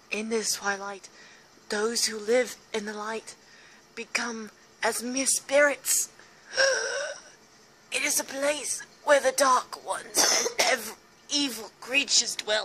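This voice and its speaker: A woman uses a put-on character voice with a fairly high pitch and a breathy, solemn tone. She speaks at a fairly slow pace with long, frequent pauses. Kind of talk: spooky mystical oracle speech. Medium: game stream. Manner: mystical, solemn, airy like an eccentric seer.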